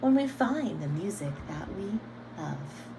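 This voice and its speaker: A put-on character voice, female-sounding, at a fairly slow pace amid loud background noise. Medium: read story.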